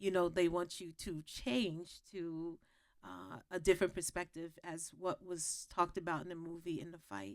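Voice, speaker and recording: In a very clean recording with a silent background, a woman speaks at a moderate pace with fairly even intonation and a fairly low pitch. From New York, Gullah family roots. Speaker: historian. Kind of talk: panel discussion. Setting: stage with audience. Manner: halting, many fillers.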